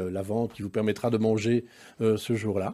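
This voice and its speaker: A man's dark, mellow voice at a fairly low pitch. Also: very clean recording, silent background. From Brussels, Belgium. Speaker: entrepreneur. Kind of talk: interview.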